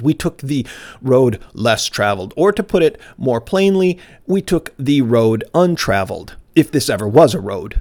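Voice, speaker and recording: In a very clean recording with a silent background and a dry, close sound with no echo, a man with a fairly high voice talks fairly slowly, his pitch swinging very widely. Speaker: messianic rabbi / teacher. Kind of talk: sermon. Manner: loud, shouting.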